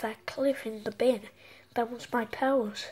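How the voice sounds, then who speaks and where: A woman's cartoonish character voice, pitched fairly high. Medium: puppet show. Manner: sarcastic.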